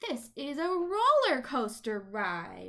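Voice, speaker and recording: A woman uses a put-on character voice, high in pitch and delivered at a very slow pace. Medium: read story.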